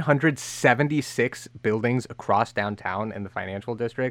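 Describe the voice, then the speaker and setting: A man's normal speaking voice at a medium pitch and fairly quick pace, with ordinary pitch variation. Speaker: radio host. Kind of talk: news podcast banter.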